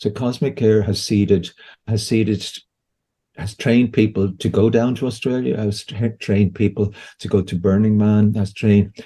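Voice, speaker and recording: Against a quiet background, a man with an Irish accent speaks at a moderate pace in a fairly low voice with a dark, mellow tone. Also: fairly even intonation. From Ireland. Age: 60s. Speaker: homeopath and psychedelic harm-reduction worker. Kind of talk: podcast interview.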